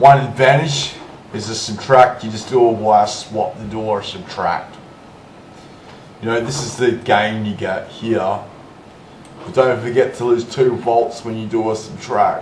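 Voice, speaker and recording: A man talks at a fairly slow pace with long, frequent pauses and fairly even intonation. Noticeable background noise and audible room echo surround him. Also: medium pitch for a man, big swings in loudness. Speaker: hobbyist electronics tinkerer. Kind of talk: casual explanation to camera.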